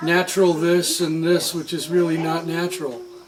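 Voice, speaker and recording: Noticeable background noise sits behind a man with a high voice. He speaks at a moderate pace. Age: 60s. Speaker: coffee farmer. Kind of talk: interview.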